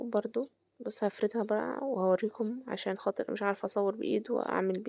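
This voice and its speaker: Recorded very cleanly against a silent background, a woman speaks fairly quickly at a medium pitch with ordinary pitch variation, her tone dark and mellow and the sound dry and close with no echo. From Egypt. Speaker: home cooking vlogger. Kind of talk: cooking tutorial. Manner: halting, with fillers and restarts; casual, conversational.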